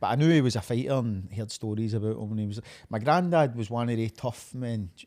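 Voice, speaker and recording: A man with a Glaswegian accent speaks at a very fast pace with a medium pitch, a dark, mellow tone and ordinary pitch variation, in a very clean recording with a silent background. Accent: Glaswegian Scottish. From Scotland, Glasgow area (Uddingston, East End). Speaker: professional MMA fighter. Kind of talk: casual interview chat.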